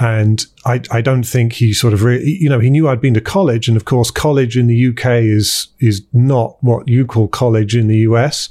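A man's dark, mellow voice with a British accent, medium pitch, fairly even intonation, very even loudness, a moderate pace and hardly any pauses. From countryside England (partly New Zealand). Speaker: tech company founder. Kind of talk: interview. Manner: halting, frequent repetitions.

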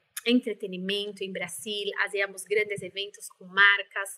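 Speaking with a Brazilian accent, a woman has a medium pitch and a bright, sharp tone. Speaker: life coach. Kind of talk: interview.

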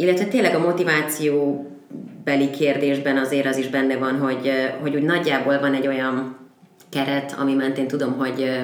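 Over noticeable background noise and audible room echo, a woman with a very deep, low pitch talks at a fairly quick pace with very even loudness. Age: 20s. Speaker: podcast guest. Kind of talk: casual chat. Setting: studio.

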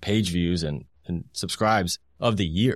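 In an American accent, the speaker uses ordinary pitch variation on a very clean recording with a silent background. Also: man. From Indianapolis, Indiana. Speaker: sports journalist. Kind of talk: casual interview.

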